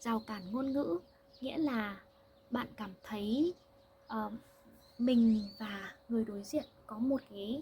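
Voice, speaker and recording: Pausing long and often, a woman speaks very slowly at a fairly high pitch. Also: ordinary pitch variation. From Vietnam. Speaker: language teacher. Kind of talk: language-learning monologue. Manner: slow and clear, with fillers.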